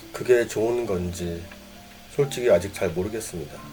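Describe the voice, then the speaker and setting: Over music in the background, a man at a medium pitch speaks at a fairly slow pace in a calm tone with ordinary pitch variation. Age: 50s. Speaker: cleaning business owner. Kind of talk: reflective personal monologue. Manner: calm, reflective.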